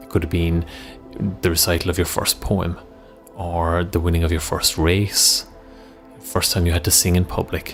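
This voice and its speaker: With music in the background, a man speaks at a moderate pace in a very deep, low pitch and a calm, soothing tone. His pitch varies in an ordinary way, broken by long, frequent pauses. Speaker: meditation coach. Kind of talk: guided visualization.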